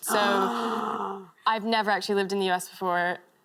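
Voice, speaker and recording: With an American accent, a woman speaks at a medium pitch and moderate pace, her loudness very even and her pitch variation ordinary, over noticeable background noise. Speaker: interviewee.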